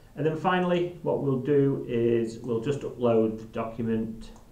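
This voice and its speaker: In a room with audible echo, a man with a dark, mellow tone speaks at a medium pitch and a fairly slow pace, with ordinary pitch variation. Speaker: software trainer. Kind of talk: live software demo tutorial. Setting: live stream.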